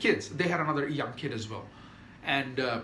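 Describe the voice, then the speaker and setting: A man with a fairly high pitch speaks in an animated tone at a moderate pace, with audible room echo. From non-Western developing country. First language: not English (native language). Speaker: YouTuber. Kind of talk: casual monologue.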